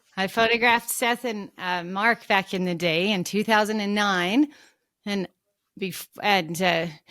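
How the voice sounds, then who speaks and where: Recorded dry and close with no echo and a silent background, a woman speaks at a moderate pace in a medium pitch on a very clean track. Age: 60s. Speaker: photographer. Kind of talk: casual chat. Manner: animated.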